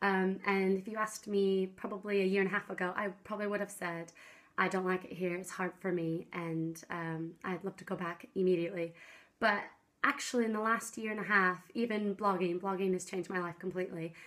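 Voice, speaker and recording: Moving at a fairly quick pace, a woman talks at a medium pitch. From US Pacific Northwest, Seattle. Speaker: vlogger. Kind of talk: casual vlog talk to camera. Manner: bubbly, loud.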